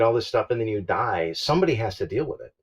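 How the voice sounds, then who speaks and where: The speaker is a man with a somewhat breathy voice. He talks at a very fast pace. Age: 60s. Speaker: full-time RV traveler and YouTuber. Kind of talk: casual podcast interview.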